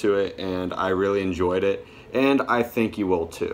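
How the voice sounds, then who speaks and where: A man's ordinary speaking voice, fairly low in pitch, at a moderate pace over light background noise. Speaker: music collector vlogger. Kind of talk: casual vlog chat. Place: home room. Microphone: phone near.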